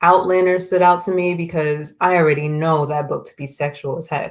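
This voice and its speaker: A soft-spoken woman talks at a moderate pace with a fairly low pitch. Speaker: political commentary livestreamer. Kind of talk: live stream commentary reading articles. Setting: live stream.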